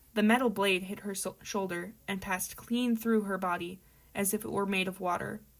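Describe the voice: The recording holds plain reading aloud.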